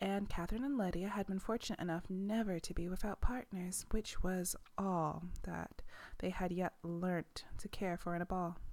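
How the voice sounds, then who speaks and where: A woman's medium-pitched voice, a plain, everyday voice, at a moderate pace with fairly even intonation, on a very clean recording with a silent background. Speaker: ASMR book reader. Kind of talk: bedtime story reading. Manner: soft-spoken.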